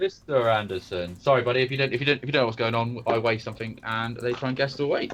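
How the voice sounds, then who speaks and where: With a West Country accent, a man talks very fast with hardly any pauses, at a medium pitch with ordinary variation. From Devon, England. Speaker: live stream co-host. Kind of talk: casual chat.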